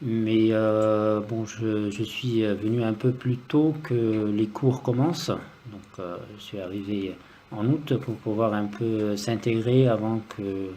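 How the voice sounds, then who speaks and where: A man talks at a very slow pace with fairly even intonation. His pitch is fairly low. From Lebanon, Beirut. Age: 40s. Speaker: music student. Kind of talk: interview. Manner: hesitant.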